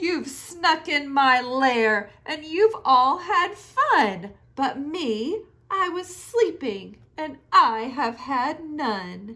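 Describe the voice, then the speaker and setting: A woman performs a put-on character voice, high in pitch and growling. She delivers it at a very slow pace. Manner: grumbling, angry.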